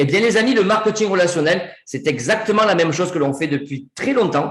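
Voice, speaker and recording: With a southern French accent, a man speaks at a high pitch and with lively intonation, amid audible room echo. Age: 40s. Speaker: network marketing presenter. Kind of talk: sales pitch. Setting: video call. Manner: animated.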